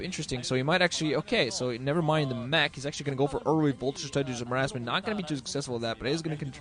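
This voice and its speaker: Noticeable background noise fills the recording. Through it, a man talks with ordinary pitch variation. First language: not English. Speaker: esports commentator. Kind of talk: live commentary. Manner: fast; halting.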